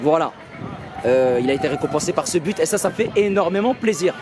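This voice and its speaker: Lively intonation at a fairly quick pace carries over noticeable background noise. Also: man. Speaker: football YouTuber. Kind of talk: match debrief vlog. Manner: hesitant, many fillers.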